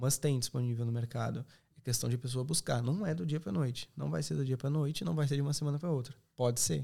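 His tone dark and mellow, a man speaks at a very fast pace, somewhat breathy, with lively intonation. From southern Brazil, Serra Gaúcha (Rio Grande do Sul). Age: 20s. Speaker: accommodation company representative. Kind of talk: podcast interview.

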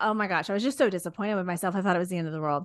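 Against a quiet background, a woman with a Texan accent speaks in an animated tone. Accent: Texan American. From Texas. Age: 40s. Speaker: social media content creator. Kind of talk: casual interview chat. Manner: animated, frequent laughter.

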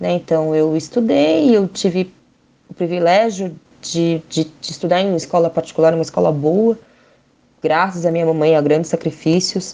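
At a moderate pace, a woman speaks with a dark, mellow tone, fairly low pitch and fairly even intonation. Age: 30s. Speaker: photographer. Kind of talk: testimony.

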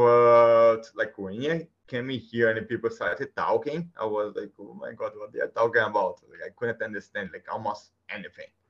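A man with a Brazilian accent, big swings in loudness and hardly any pauses. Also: moderate pace. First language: Portuguese. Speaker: guest. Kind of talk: casual interview conversation. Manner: halting, hesitant with fillers.

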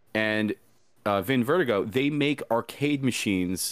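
On a very clean recording with a silent background, a man with a plain, everyday voice speaks at a moderate pace and medium pitch with ordinary pitch variation. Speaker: furry VR content creator. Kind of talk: casual interview chat.

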